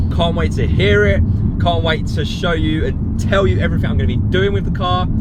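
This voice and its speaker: A man's very deep, low voice at a fairly quick pace with fairly even intonation, amid audible room echo and noticeable background noise. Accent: British. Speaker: car vlogger. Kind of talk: casual vlog talk to camera. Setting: in a car. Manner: loud.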